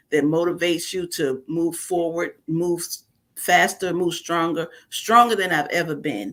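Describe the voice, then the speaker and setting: A woman speaks with a New York accent. Her pitch is fairly low, with ordinary variation. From New York (Bronx). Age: 60s. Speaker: author, preacher's wife. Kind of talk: interview.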